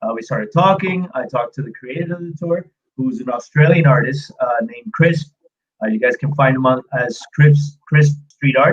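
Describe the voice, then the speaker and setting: Somewhat breathy and fairly high in pitch, a man with a slight American accent speaks with ordinary pitch variation. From US, New York. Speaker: street art tour guide. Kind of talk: live stream interview. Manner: hesitant, many filler sounds and repeats.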